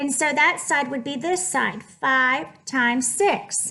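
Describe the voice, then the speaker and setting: A woman's high-pitched, raised and projected voice, bright and sharp in tone, with audible room echo. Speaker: math teacher. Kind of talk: lecture. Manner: animated.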